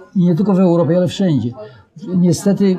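A man at a high pitch with fairly even intonation and a fairly quick pace, against noticeable background noise. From Poland, Warsaw. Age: 90s. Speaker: professor, war veteran. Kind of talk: interview. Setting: bookshop after author event.

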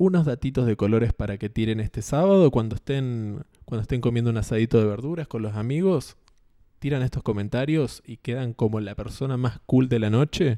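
Dark, mellow male voice in a Rioplatense accent, lively intonation, moderate pace, dry and close with no echo over a quiet background. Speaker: podcast host. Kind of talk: casual monologue. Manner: halting.

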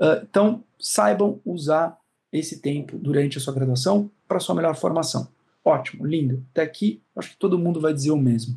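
A man's fairly high-pitched voice with a dark, mellow tone, lively intonation and a moderate pace. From Brazil, São Paulo. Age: 30s. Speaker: law professor. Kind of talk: interview, advice talk.

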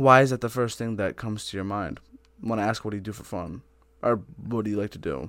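A man at a very fast pace, fairly low in pitch. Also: ordinary pitch variation. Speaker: podcast host. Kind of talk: casual chat.

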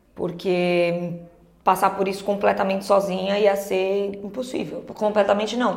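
At a moderate pace, a woman with a medium-pitched voice speaks in a monotone, flat intonation. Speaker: podcast co-host. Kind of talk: casual chat.

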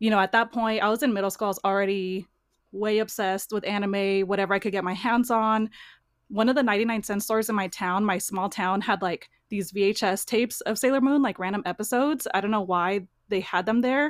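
In a very clean recording with a silent background, a woman with an American accent speaks fairly quickly at medium pitch with fairly even intonation. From California, near the Bay Area. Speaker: cosplayer and toy collector. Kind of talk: casual chat.

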